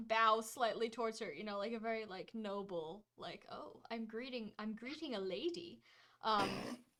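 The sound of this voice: The speaker uses an unforced reading voice. Nothing more stands out.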